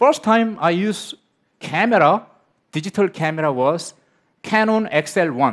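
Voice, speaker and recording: A high-pitched man at a fairly slow pace with lively intonation and long, frequent pauses, against a quiet background. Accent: Korean. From South Korea. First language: Korean. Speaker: film director; speaker. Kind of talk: conference talk. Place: stage. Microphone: headset.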